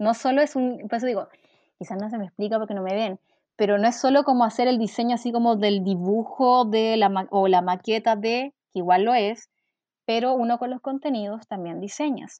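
Her voice is a plain, everyday voice, fairly high for a woman, with ordinary pitch variation and a moderate pace. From Chile, Valparaíso region (Quilpué). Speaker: journalist turned UX content designer. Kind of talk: interview conversation.

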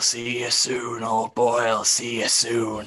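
Raspy and medium in pitch, a man speaks at a fairly slow pace. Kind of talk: comic improvised noir. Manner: folksy, drawling.

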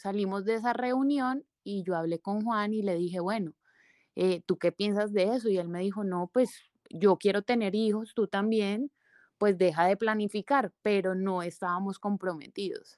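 A woman of medium pitch talks fairly slowly, her pitch varying in an ordinary way. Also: dry, close sound with no echo, very clean recording, silent background. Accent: Cali Colombian. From Valle del Cauca, Colombia. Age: 30s. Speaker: plastic surgeon. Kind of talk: interview, personal testimony.

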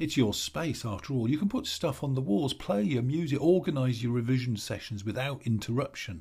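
A man with an English accent, somewhat breathy, with lively intonation at a fairly quick pace and hardly any pauses, on a very clean recording with a silent background. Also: medium pitch for a man. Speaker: stress coach and author. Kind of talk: scripted advice monologue.

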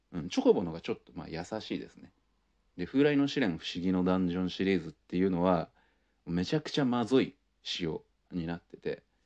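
Over a quiet background, a man with a very deep, low pitch speaks at a fairly quick pace, his intonation lively and his loudness swinging widely. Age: 30s. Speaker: podcast host. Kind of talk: casual monologue.

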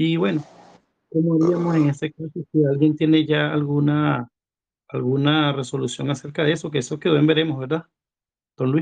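A man's fairly high, monotone, flat voice at a moderate pace, broken by long, frequent pauses. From Venezuela. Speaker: caller. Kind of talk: casual chat.

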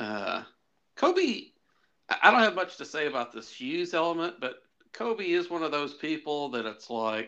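A man talks in a fairly high pitch with very wide pitch swings and a bright, sharp tone. His pace is fairly slow, and the background is quiet. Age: middle-aged. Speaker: podcast co-host. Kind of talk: casual chat.

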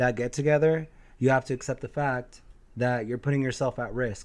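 A man of medium pitch speaks at a moderate pace. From Mexican-American. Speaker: podcast host. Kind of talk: casual chat. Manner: animated.

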